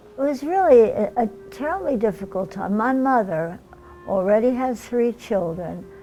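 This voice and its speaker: With music in the background, a woman with an American accent speaks at a moderate pace with lively intonation. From Germany. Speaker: Holocaust survivor. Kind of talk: oral history interview answer.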